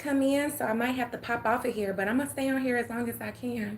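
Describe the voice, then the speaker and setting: In an Atlanta accent, a woman talks at a fairly quick pace and a fairly high pitch, with noticeable background noise. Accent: Southern US, Atlanta. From US South, Atlanta, Georgia. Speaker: livestreamer. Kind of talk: casual chat. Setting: live stream.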